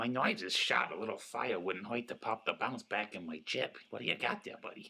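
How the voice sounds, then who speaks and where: A man's put-on character voice at a fairly quick pace. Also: medium pitch for a man. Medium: audio drama. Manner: erratic, ungrammatical.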